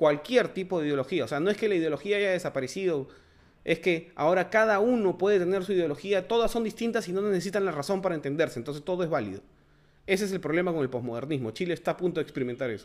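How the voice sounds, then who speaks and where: Very fast delivery with lively intonation, on a very clean recording with a silent background. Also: man, high pitch for a man. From Peru. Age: 40s. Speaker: political commentary podcaster. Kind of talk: solo monologue commentary. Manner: halting, many fillers.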